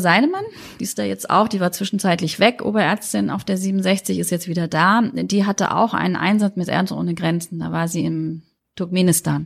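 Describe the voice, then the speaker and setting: Fairly quick speech in a normal speaking voice, its pitch variation ordinary. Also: woman. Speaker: pediatrician. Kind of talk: interview. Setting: pediatric practice, windows open.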